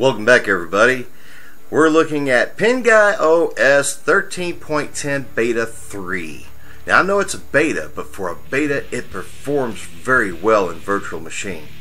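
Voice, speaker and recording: A man speaks at a moderate pace with a fairly high pitch and a bright, sharp tone. His pitch swings very widely, and room echo is audible. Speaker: tech reviewer. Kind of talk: software review tutorial. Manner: casual.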